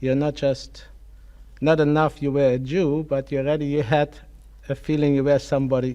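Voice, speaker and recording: A man talks in a fairly high voice with a German accent. His intonation is monotone and flat. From Germany, Kassel (Hesse). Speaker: Holocaust survivor. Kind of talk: testimony interview. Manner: halting.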